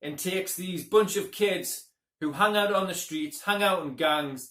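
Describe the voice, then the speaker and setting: A man with a high pitch talks, his pitch varying in an ordinary way. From UK. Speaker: movie reviewer. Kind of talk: casual movie review monologue.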